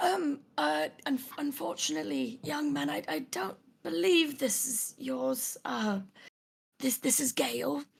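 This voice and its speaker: In a put-on character voice, a woman speaks slowly and raspily at a medium pitch, her pitch swinging very widely. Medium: actual play. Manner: hesitant, halting, polite.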